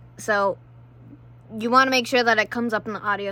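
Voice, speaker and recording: A loud woman with a bright, sharp tone on a very clean recording with a silent background. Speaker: vlogger. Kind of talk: tutorial. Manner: casual, filler-heavy.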